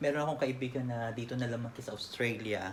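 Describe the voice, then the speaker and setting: A man speaks over noticeable background noise. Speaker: interviewer. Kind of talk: interview.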